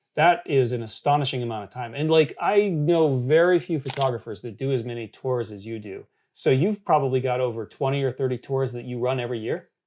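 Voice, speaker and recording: A man with a plain, everyday voice speaks at a fairly quick pace, with hardly any pauses and big swings in loudness. His pitch sits in the medium range with ordinary variation, on a very clean recording with a silent background. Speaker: photographer and photography educator. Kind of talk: interview. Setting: hotel on location.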